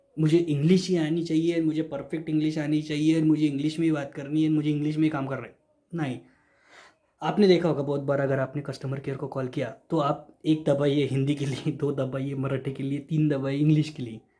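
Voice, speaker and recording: This man's voice sits fairly high and sounds somewhat breathy, with a Marathi accent. He keeps a moderate pace and a monotone, flat intonation. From Maharashtra, India. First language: Marathi (speaking Hindi). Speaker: YouTuber sharing job tips. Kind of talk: informal explainer video. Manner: repetitive, reassuring.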